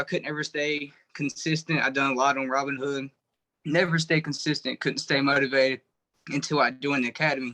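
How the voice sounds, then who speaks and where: A man's bright, sharp, fairly high voice with a Southern US accent, fairly quick and fairly even, dry and close with no echo over a quiet background. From North Carolina. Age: 20s. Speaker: truck driver sharing his trading story. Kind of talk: personal testimony.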